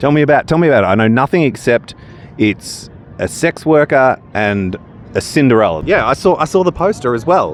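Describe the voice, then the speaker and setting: A man's pitch swings very widely. There is noticeable background noise. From country Victoria, Australia. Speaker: friend of the host. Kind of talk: casual chat.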